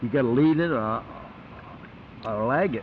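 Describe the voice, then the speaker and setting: Noticeable noise sits behind a man whose voice is at a medium pitch. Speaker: war veteran. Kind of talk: casual conversation recalling war memories. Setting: informal hidden-camera chat at home.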